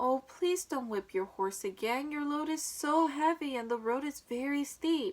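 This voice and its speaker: A woman speaks in a put-on character voice. Her pitch sits high. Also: moderate pace. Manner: gentle, pleading.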